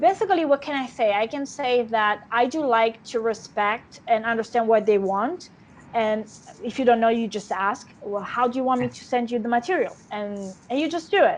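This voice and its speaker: At a moderate pace, a woman speaks in an Italian accent with a fairly high pitch and ordinary pitch variation. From Italy. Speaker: actress. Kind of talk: interview. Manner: halting. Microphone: unstable connection.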